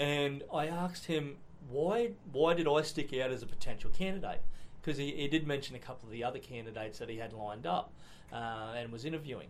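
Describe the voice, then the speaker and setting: Against audible room echo, a man with an Australian accent and a fairly high pitch talks at a fairly quick pace. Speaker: state politician. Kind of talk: interview.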